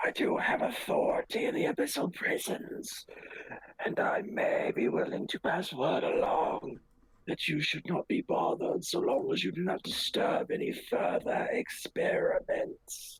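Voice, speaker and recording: A man puts on a character voice at an extremely high pitch. He speaks at a moderate pace. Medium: actual play. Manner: formal, haughty.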